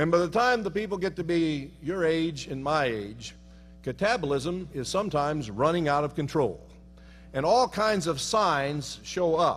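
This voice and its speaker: With lively intonation, a man talks at a moderate pace in a normal speaking voice, pitched fairly high. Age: 60s. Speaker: professor. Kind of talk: humorous speech.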